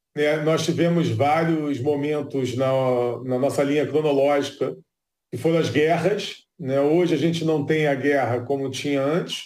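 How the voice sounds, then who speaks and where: A man talks at a fairly slow pace with a fairly high pitch and fairly even intonation. Audible room echo surrounds his voice. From Brazil, Rio de Janeiro. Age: 40s. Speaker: neuroscientist. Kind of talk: interview.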